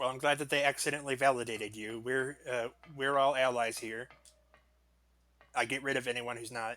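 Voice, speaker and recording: A man at a fairly quick pace with long, frequent pauses, medium pitch, and monotone, flat intonation. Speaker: gaming streamer. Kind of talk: live gameplay stream chat. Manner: casual, chatty.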